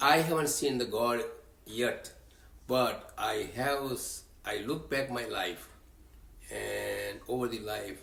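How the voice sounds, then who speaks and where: Speaking very slowly with long, frequent pauses, a man is heard over audible room echo. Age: 80s+. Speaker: religious community leader. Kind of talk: interview. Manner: halting.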